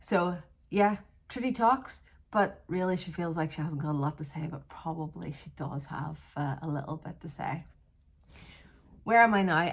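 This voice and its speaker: A woman with a Northern Irish accent and a very deep, low pitch, somewhat breathy, with lively intonation, big swings in loudness, a moderate pace and long, frequent pauses. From Northern Ireland, Belfast area. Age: 40s. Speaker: vlogger. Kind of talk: casual vlog monologue. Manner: hesitant, with fillers and restarts.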